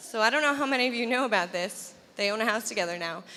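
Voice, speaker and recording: Loud and very fast, a woman talks at a fairly high pitch with very wide pitch swings over noticeable background noise. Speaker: wedding guest, bride's best friend. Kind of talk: wedding toast. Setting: wedding reception with microphone.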